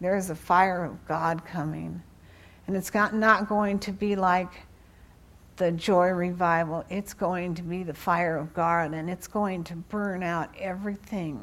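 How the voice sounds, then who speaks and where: Speaking very slowly, a woman uses a fairly low pitch and fairly even intonation. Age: 70s. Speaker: preacher. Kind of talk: sermon. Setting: church.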